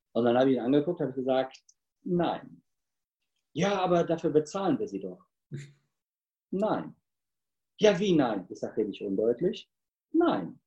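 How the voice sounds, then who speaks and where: A man speaks at a fairly slow pace in a dark, mellow tone, his fairly high pitch swinging very widely between long, frequent pauses. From Cologne, Germany. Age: 50s. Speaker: sales trainer and speaker. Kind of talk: interview.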